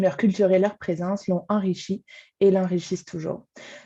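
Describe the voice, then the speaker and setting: A woman with a dark, mellow, somewhat breathy tone speaks at a moderate pace. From France. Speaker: arts programming coordinator. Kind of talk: webinar welcome speech. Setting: video call from home.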